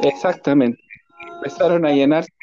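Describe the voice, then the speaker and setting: Over music in the background, a man with a Chilean accent talks in a high pitch with fairly even intonation. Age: 30s. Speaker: railway worker. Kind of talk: casual political chat.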